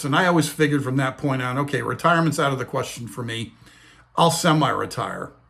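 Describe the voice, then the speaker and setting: Talking at a fairly quick pace, a man has a fairly high pitch and an unremarkable speaking voice. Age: 60s. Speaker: retirement finance video host. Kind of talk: casual talking-head explainer.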